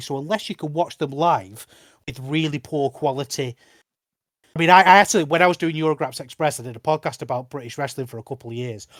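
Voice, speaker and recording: With a northern English accent, a man speaks at a fairly high pitch with ordinary pitch variation, the sound dry and close with no echo. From northern England. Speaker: wrestling podcast host. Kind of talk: casual chat. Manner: animated.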